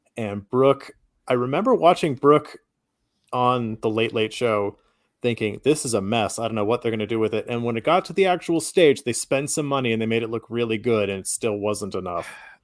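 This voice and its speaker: With an American accent and an ordinary speaking voice, a man talks at a fairly quick pace and medium pitch, his pitch varying in an ordinary way. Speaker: podcast co-host. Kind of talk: casual chat.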